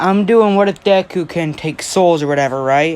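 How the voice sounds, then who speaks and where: A woman at a moderate pace with lively intonation. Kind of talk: casual fan-fiction storytelling.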